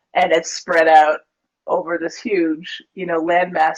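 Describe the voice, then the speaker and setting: This is a woman speaking with an American accent. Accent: Canadian, slightly Americanized. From Canada, Ontario border with Michigan. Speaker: yoga teacher and author. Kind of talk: casual interview chat.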